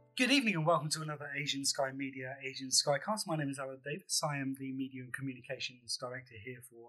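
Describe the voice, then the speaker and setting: A man's fairly high-pitched voice at a very fast pace, over noticeable background noise. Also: hardly any pauses, big swings in loudness. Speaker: podcast host. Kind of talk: interview.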